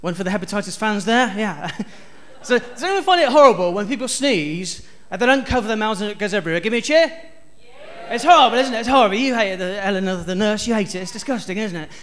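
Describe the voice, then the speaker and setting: A man's high voice, lively in intonation and very fast, with noticeable background noise and audible room echo. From South West England (Stroud, near Bristol). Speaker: stand-up comedian. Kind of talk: stand-up. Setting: stage with audience.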